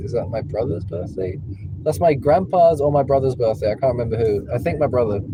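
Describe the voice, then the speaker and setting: With an English accent, a man at medium pitch speaks with lively intonation over noticeable background noise and audible room echo. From Spain. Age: 20s. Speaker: rideshare driver. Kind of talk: casual chat. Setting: in a car.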